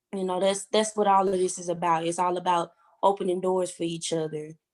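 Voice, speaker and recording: Speaking in a Louisiana accent, a woman holds a moderate pace. Her intonation is monotone and flat. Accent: Southern US (Louisiana). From Louisiana, US South. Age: 20s. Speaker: aspiring model. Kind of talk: podcast interview. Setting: podcast. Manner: casual, many fillers.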